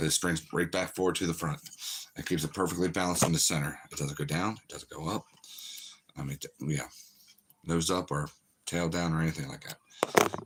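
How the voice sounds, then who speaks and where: Putting on a raspy character voice, a man speaks at a very deep, low pitch in a monotone, flat delivery, moving at a fairly quick pace between long, frequent pauses. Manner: talking fast.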